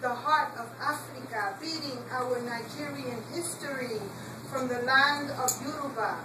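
A woman's raised, projected voice at a very slow pace, with noticeable background noise. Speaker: poet. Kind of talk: poetry reading. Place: cafe. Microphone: camera far.

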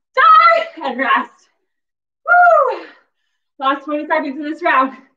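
A woman's raised, projected voice, with ordinary pitch variation and big swings in loudness, carries audible room echo over a quiet background. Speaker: fitness instructor. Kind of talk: workout instruction cues. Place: home room. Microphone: camera far.

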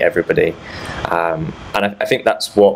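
Noticeable background noise surrounds the speech. A man with a British accent talks at a moderate pace. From UK. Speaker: threat researcher. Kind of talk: conference talk. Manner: halting, many repeated words.

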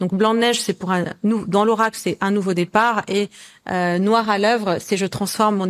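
Against a quiet background, a woman talks with fairly even intonation. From Lebanon. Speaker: colour oracle author; guest. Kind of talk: interview. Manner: halting. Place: home room.

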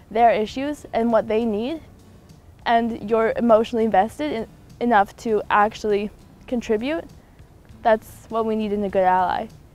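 A woman with a Canadian accent speaks fairly quickly at a fairly high pitch with fairly even intonation, the sound dry with no echo and faint music in the background. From Haida Gwaii, British Columbia, Canada. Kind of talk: interview answer. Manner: casual, earnest. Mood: earnest, thoughtful. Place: garden. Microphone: lapel.

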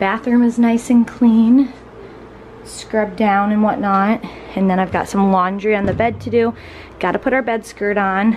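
A woman's medium-pitched, slightly mellow voice with fairly even intonation, at a fairly slow pace over faint background noise.

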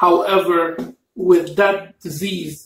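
With audible room echo and light background noise, a man with a high pitch speaks at a very slow pace. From Egypt, Cairo. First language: Arabic. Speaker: mukbang YouTuber. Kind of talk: casual chat. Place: home room. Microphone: camera far.

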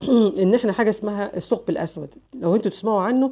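In an Egyptian accent, a woman speaks at a fairly quick pace with medium pitch and ordinary pitch variation. Her tone is dark and mellow on a very clean recording with a silent background. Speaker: lawyer and news commentary vlogger. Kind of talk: casual news commentary monologue.

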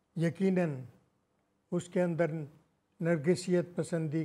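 A man talks in a dark, mellow tone at a fairly high pitch. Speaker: literary critic and writer; interviewee. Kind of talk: interview. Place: home room.

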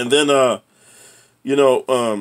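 The background is quiet. A man speaks in an animated tone. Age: 60s. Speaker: YouTuber and ex-prisoner giving life advice; channel host, life coach. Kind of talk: casual vlog monologue. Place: home room. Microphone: phone near.

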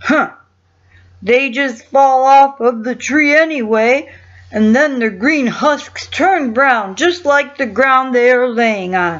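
In a put-on character voice, a high, female-sounding speaker talks at a fairly slow pace. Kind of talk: bedtime story. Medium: read story. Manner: leisurely, yawning.

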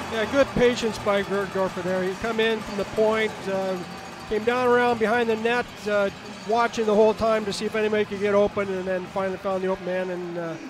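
Over noticeable background noise, a man talks at a very fast pace in a high pitch with fairly even intonation. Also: dry sound with no echo. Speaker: colour analyst, former player. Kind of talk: analyst commentary during live game. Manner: relaxed, conversational, filler words. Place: stadium.

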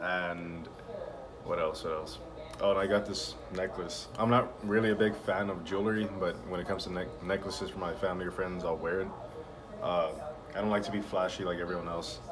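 Over noticeable background noise, a man with a very deep, low pitch speaks at a fairly quick pace in a monotone, flat delivery. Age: 20s. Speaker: vlogger. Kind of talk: casual vlog monologue. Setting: at the shop. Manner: halting, many fillers. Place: office. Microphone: phone near.

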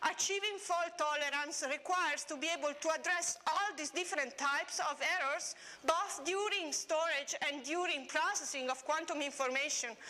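A woman's raised, projected voice at a moderate pace with ordinary pitch variation. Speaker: conference speaker. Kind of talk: lecture. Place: hall.

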